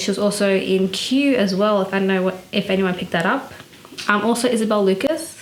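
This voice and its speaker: The speaker has an Australian accent and ordinary pitch variation. Noticeable background noise is present. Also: woman. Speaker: fashion vlogger. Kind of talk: casual vlog commentary. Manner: casual, many fillers (um, I guess, like).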